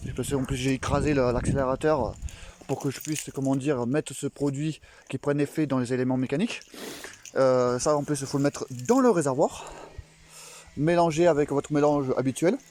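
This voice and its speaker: At a moderate pace, a man speaks in a fairly high voice with fairly even intonation, leaving long, frequent pauses. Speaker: moped enthusiast vlogger. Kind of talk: tutorial. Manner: halting, many fillers.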